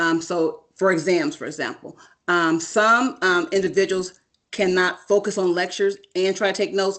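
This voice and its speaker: A woman's normal speaking voice, medium in pitch, with fairly even intonation and a quiet background. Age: 50s. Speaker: doctoral student panelist. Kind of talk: panel talk on video call.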